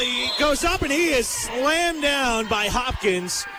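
A raised, projected voice swings very widely in pitch over noticeable background noise. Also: man. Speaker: basketball play-by-play announcer. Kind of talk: live sports commentary, play-by-play. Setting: gym broadcast, live radio game. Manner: rapid, fluent play-by-play with brisk, clipped sentences.

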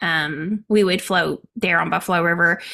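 A woman with an Arkansas accent speaks fairly slowly with fairly even intonation, and noticeable background noise can be heard. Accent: Arkansas southern US. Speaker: knitting podcast co-host. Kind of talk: casual chat.

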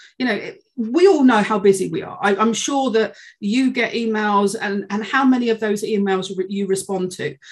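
A woman with a British accent talks in a fairly high, somewhat breathy voice, with ordinary pitch variation and hardly any pauses. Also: moderate pace. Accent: UK English. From UK. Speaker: sales learning and development head. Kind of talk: interview conversation.

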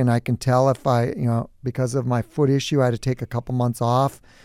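A man speaks in a dark, mellow tone with an Upper Midwest accent. The sound is dry and close with no echo, on a very clean recording with a silent background. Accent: Upper Midwest American. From southern Minnesota (New Prague). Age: 50s. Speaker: business owner. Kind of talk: interview. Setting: studio.

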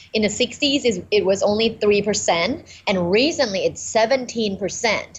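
Fairly high-pitched woman in a Thai accent, somewhat breathy, with lively intonation. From Thailand. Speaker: communication professor. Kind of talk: podcast interview.

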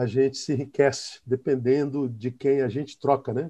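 This man's voice has a dark, mellow tone and is somewhat breathy, sitting at a fairly high pitch and moving at a moderate pace. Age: 50s. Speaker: pastor. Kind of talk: casual chat.

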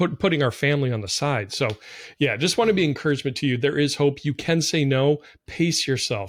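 A man's normal speaking voice, fairly high in pitch, fairly quick and lively in intonation, in a very clean recording with a silent background. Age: 40s. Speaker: podcast host. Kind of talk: casual chat.

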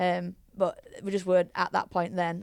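Monotone, flat intonation comes through in a Yorkshire accent. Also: woman. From Leeds, West Yorkshire, England. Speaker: rugby league head coach. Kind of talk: casual chat.

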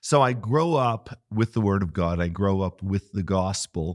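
On a very clean recording with a silent background and a dry, close sound with no echo, a man speaks fairly slowly in a very deep, low voice. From western Pennsylvania. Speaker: pastor. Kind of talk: interview conversation.

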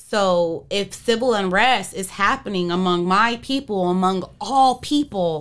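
A woman speaks at a medium pitch in an unremarkable speaking voice, at a fairly slow pace with lively intonation. The recording is very clean, with a silent background. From Arizona. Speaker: hip hop and R&B artist. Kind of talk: casual interview chat.

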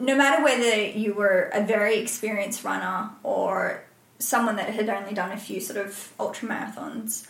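A woman in an Australian accent speaks at a fairly high pitch and a moderate pace with fairly even intonation, amid audible room echo and noticeable background noise. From Australia, Byron Bay. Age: 30s. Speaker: ultrarunner and reality TV contestant. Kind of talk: podcast interview.

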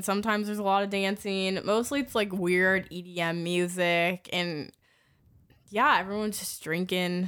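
A woman's ordinary speaking voice at a medium pitch and moderate pace, in a very clean recording with a silent background. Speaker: podcast guest, host's roommate. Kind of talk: casual chat.

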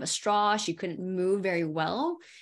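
An American-accented woman speaks at a moderate pace with a medium pitch and ordinary pitch variation. It is a plain, everyday voice against a quiet background. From California. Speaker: physical therapist and pain specialist. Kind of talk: interview.

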